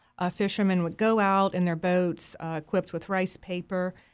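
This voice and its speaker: In an ordinary speaking voice, a woman speaks at a moderate pace with fairly low pitch and fairly even intonation, on a very clean recording with a silent background. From US South, Mississippi Delta. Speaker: fish printing artist. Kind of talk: interview conversation.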